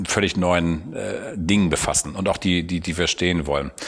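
A man with a very deep, low pitch talks fairly slowly, keeping his intonation fairly even. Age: 50s. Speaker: car company executive. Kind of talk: interview. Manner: halting.

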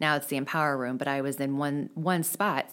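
In a very deep, low voice with an American accent, a woman talks at a fairly quick pace with fairly even intonation on a very clean recording with a silent background. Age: 40s. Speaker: special education teacher. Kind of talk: casual interview.

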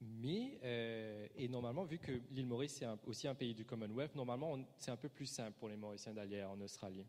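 A man speaks at a moderate pace with medium pitch. He has an ordinary speaking voice. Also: ordinary pitch variation. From Mauritius. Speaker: preacher. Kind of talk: sermon.

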